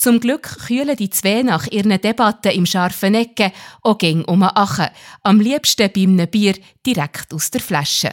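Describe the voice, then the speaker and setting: A woman reads at a fairly slow pace in an unremarkable speaking voice of medium pitch. The recording is very clean, with a silent background. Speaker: podcast host. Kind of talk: scripted narration.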